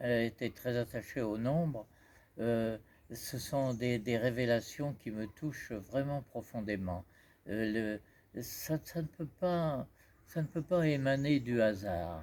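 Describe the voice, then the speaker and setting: Over a silent background in a very clean recording, a man with a medium pitch speaks at a very slow pace with lively intonation. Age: 80s+. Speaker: researcher of pyramid-star geometry. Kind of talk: interview answer. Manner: hesitant, halting.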